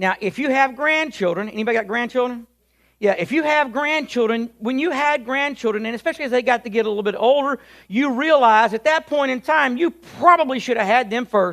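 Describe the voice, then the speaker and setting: At a fairly quick pace, a man speaks in an extremely high voice. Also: ordinary pitch variation. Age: 50s. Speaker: pastor. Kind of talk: sermon. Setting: church.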